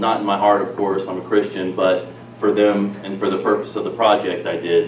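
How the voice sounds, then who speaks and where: A man's fairly low-pitched voice at a moderate pace, with noticeable background noise and audible room echo. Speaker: national security consultant, speaker. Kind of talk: public presentation. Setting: live audience in a hall. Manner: soft-spoken.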